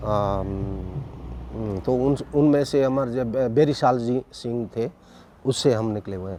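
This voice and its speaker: Ordinary pitch variation in a dark, mellow tone. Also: man, medium pitch for a man. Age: 60s. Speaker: folk musician. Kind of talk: interview. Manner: halting.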